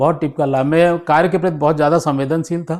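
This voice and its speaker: A man speaks in a monotone, flat intonation. His pitch is fairly high. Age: 60s. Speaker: retired police officer. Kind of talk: interview. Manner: halting.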